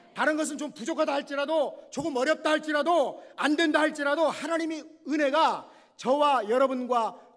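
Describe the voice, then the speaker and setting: A man speaks at a fairly quick pace. His pitch is extremely high. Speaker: guest preacher. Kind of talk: sermon. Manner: fast.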